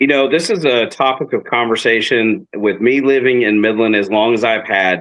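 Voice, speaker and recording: A man with a West Texas accent talks at a medium pitch and moderate pace, with hardly any pauses. His loudness stays very even and his pitch varies in an ordinary way. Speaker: city council member. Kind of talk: interview.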